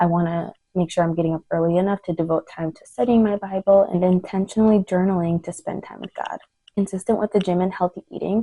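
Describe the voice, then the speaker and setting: Soft-spoken and at a very fast pace, a woman with a medium pitch and a dark, mellow tone speaks with fairly even intonation and big swings in loudness, the sound dry and close with no echo. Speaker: lifestyle vlogger. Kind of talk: casual chat. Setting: home, son napping.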